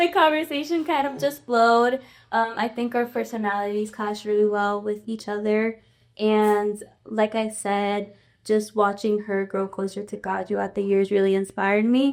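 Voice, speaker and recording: On a very clean recording with a silent background, a woman with a Spanish accent speaks at a moderate pace and fairly high pitch, with ordinary pitch variation. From New York, Dominican-born. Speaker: college student. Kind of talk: interview. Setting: studio with audience. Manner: calm.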